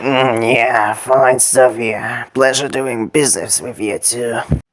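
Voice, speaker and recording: A cartoonish character voice from a man, raspy and medium-pitched, at a fairly slow pace. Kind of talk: comic overacting.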